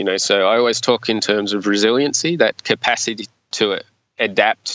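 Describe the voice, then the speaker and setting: Moderate-paced speech from a man in an Australian accent. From regional Australia. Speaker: investment manager. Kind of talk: interview.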